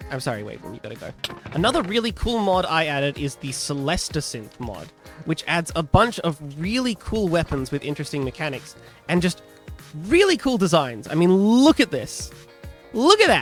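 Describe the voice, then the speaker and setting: Over music in the background, the speech moves at a moderate pace with very wide pitch swings and big swings in loudness. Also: man, high pitch for a man. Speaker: modpack developer. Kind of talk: casual gaming devlog talk.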